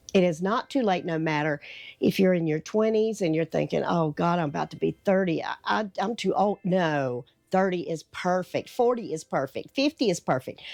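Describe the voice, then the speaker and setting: A woman speaks with a Southern US accent at a moderate pace. The sound is dry and close with no echo, and the background is quiet. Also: fairly low pitch for a woman, lively intonation. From North Carolina, US South. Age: 60s. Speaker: lifestyle vlogger. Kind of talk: motivational talk to camera. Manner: casual, conversational.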